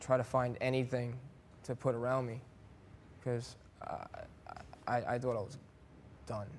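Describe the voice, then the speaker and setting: A man with an American accent speaks at medium pitch and a moderate pace. His intonation is flat and monotone, broken by long, frequent pauses. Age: 20s. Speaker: storm survivor. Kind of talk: TV talk show interview. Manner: halting.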